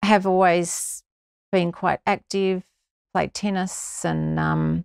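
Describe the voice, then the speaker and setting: A woman with an Australian accent speaks at a very slow pace on a very clean recording with a silent background, dry and close with no echo. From Victoria, Australia. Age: 60s. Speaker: amateur runner. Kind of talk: interview.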